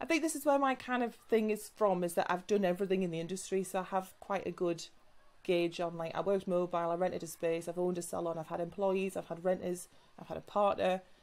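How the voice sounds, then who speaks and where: Talking very fast in a northern English accent, a woman at medium pitch uses ordinary pitch variation. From northern England. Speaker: salon business mentor and hair extension specialist. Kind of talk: podcast interview. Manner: casual, chatty with many fillers.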